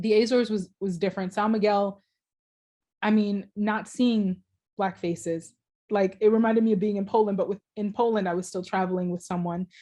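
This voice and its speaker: Against a quiet background, a woman with a dark, mellow tone speaks at a medium pitch and moderate pace in a monotone, flat intonation. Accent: American. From Jamaica. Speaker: PhD student researcher, ethnomusicology. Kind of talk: Q&A answer after academic talk.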